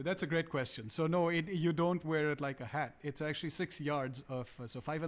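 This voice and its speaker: In a Punjabi accent, a man talks at a moderate pace with fairly even intonation over a very clean recording and silent background. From India, Calcutta. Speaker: musician. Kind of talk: casual chat. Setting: live stream. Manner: halting.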